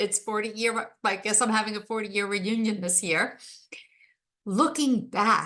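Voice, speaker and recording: Fairly high in pitch, a woman speaks fairly slowly with fairly even intonation. Her tone is bright and sharp. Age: 60s. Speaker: podcast host and life coach. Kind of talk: solo podcast monologue. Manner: conversational.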